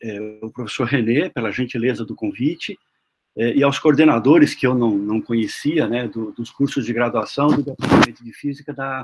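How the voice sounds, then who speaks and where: Moderate pace, ordinary pitch variation and big swings in loudness. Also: man. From Brazil, interior of Paraná (Maringá). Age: 60s. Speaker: physics professor. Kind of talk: lecture. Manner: halting, many fillers.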